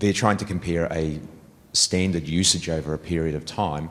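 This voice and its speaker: A man's very deep, low voice with monotone, flat intonation and a New Zealand accent. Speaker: audience member asking a question. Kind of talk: conference Q&A question.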